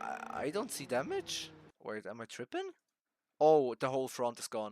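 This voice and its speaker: The speaker has a non-native accent and a moderate pace. Loudness swings widely in a dry, close sound with no echo. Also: man. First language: not English. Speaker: sim racing YouTuber. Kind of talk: gameplay commentary over race footage. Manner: animated.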